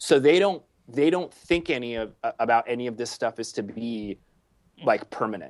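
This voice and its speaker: With lively intonation and a medium pitch, a man talks at a moderate pace in an unremarkable speaking voice. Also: dry, close sound with no echo. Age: 30s. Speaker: paintball video producer. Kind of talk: casual chat.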